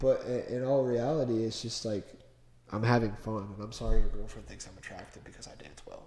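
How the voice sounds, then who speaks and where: A man's animated voice in an American accent, with audible room echo. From US Midwest, Cincinnati. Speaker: car enthusiast guest. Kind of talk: casual chat.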